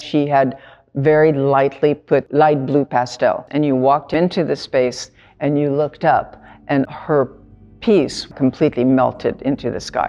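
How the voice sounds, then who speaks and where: Over music in the background, a woman talks at a fairly slow pace in a very deep, low voice with fairly even intonation. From Tunisia. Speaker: artist. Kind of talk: reflective interview monologue.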